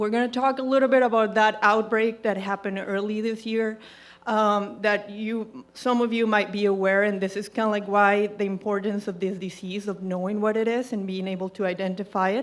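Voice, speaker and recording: In a very clean recording with a silent background, a woman with a Colombian accent talks at a medium pitch in a monotone, flat intonation. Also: fairly quick pace, hardly any pauses. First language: Spanish. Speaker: equine veterinarian. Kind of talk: presentation to audience. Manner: hesitant, with fillers.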